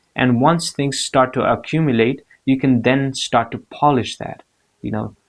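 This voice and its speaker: A man with a non-native accent talks at a medium pitch with fairly even intonation. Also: moderate pace. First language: not English. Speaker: motivational vlogger. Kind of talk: motivational talk to camera. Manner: hesitant, many fillers and repeats.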